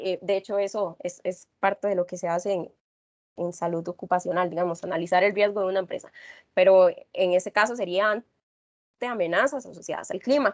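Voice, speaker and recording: A woman speaks at a fairly quick pace with medium pitch and ordinary pitch variation. The sound is dry and close, with no echo. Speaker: environmental researcher presenting her work. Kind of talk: class presentation. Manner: fast.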